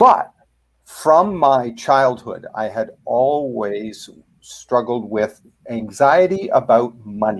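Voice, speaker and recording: A man with a Canadian accent speaks at a very slow pace, with medium pitch and lively intonation. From Canada. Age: 60s. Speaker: author and fear coach. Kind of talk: interview. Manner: hesitant, many fillers.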